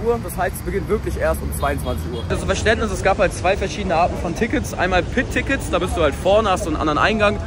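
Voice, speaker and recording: A man at a very fast pace with hardly any pauses, dry sound with no echo, clear music in the background. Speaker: vlogger. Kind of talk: casual vlog chat. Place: street. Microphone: phone near.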